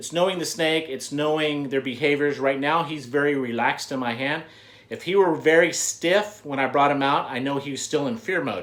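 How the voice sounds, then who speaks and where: The man's voice sits at a fairly high pitch, with ordinary pitch variation. He speaks at a fairly quick pace. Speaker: reptile breeder and channel host. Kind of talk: tutorial. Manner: loud.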